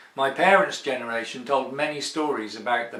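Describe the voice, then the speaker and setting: A man with an English accent at medium pitch, with ordinary pitch variation and a moderate pace. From England. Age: 60s. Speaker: expatriate sharing healthcare experience. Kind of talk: personal testimony.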